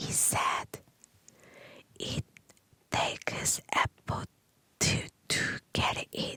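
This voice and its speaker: Whispering very slowly, a woman is heard in a dry, close sound with no echo over noticeable background noise. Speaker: ASMR creator learning English. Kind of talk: ASMR story reading. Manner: whispered, soft, slow.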